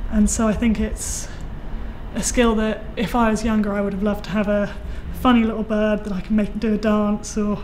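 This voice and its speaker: The speech moves at a moderate pace in a monotone, flat intonation. Light background noise is present. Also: woman. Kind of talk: interview answer. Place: workshop.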